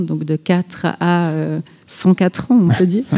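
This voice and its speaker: Using fairly even intonation, a woman speaks at a fairly low pitch. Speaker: festival director. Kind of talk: radio interview. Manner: halting, repeats words.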